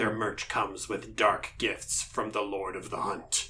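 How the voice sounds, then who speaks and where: A man growls in a put-on character voice. He goes at a fairly slow pace over light background noise. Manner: menacing.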